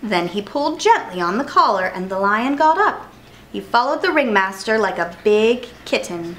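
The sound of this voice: The speaker reads in an unforced reading voice.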